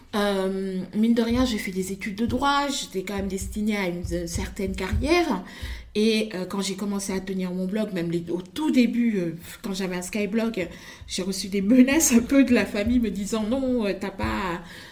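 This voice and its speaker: A woman speaks at a moderate pace and medium pitch with ordinary pitch variation. Noticeable background noise and audible room echo fill the recording. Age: 30s. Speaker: fashion designer and content creator. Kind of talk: interview.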